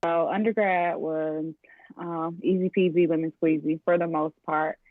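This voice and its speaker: A woman with an American accent in a plain, everyday voice, fairly low in pitch, with fairly even intonation. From US South, Atlanta, Georgia. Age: 20s. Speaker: physical therapist. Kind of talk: interview. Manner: casual, many filler ums.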